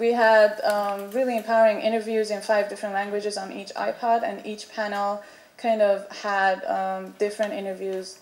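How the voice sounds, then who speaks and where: In a room with audible echo, a woman speaks with big swings in loudness. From Iran. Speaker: artist, panelist. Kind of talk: panel presentation. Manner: halting, many fillers.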